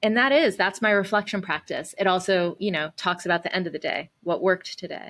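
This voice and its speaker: In an American accent, a woman speaks at medium pitch with ordinary variation, moving at a fairly quick pace with hardly any pauses, and she has an unremarkable speaking voice. The recording is very clean, with a silent background. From US South. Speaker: nonprofit CEO and activist. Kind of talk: casual interview.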